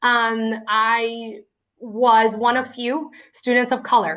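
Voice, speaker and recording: Speaking at a fairly high pitch, a woman talks with a Spanish accent. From Lynn, Massachusetts. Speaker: award honoree, city equity official. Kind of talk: acceptance speech. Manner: hesitant, many fillers.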